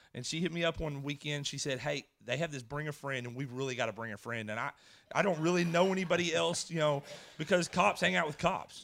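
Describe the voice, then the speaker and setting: An American-accented man with an ordinary speaking voice talks at a fairly quick pace and a fairly high pitch on a very clean recording with a silent background. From Edgewood area, US. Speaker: former law enforcement officer. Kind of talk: testimony. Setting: church stage with audience.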